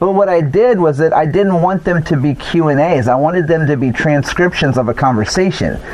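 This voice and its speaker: Amid noticeable background noise, a man speaks at a fairly quick pace with a fairly high pitch, ordinary pitch variation, and very even loudness. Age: 40s. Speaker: podcast host and interviewer. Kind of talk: casual interview chat. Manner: halting, many fillers and repeats.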